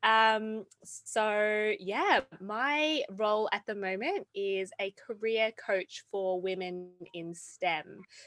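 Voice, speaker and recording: The speaker has an Australian accent and talks very slowly, with hardly any pauses. The sound is dry and close with no echo, on a very clean recording with a silent background. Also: woman, fairly high pitch for a woman, ordinary pitch variation. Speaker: career coach. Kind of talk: panel discussion.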